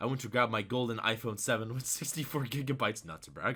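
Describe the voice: The intonation stays fairly even throughout this plain reading aloud.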